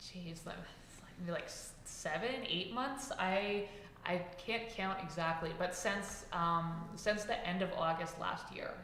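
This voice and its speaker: A woman with an American accent speaks at a fairly slow pace with ordinary pitch variation and big swings in loudness. Noticeable background noise and audible room echo fill the recording. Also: medium pitch for a woman. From New York City, Washington Heights. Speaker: author and art journalist. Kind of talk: podcast interview. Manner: talkative.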